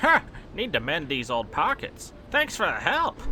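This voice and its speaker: A man's put-on character voice against clear background noise. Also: moderate pace. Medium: audio drama. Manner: folksy, chuckling.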